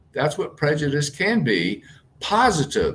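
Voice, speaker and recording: This man has an American accent and a fairly high pitch. His voice has vocal fry and very wide pitch swings. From US South, southern Mississippi. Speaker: transformational coach. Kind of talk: interview.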